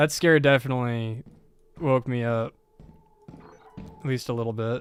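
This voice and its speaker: A man with an American accent at medium pitch and moderate pace, intonation fairly even, over noticeable background noise. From United States. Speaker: video game streamer. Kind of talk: casual live stream chat. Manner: more alert, using everyday voice after scare.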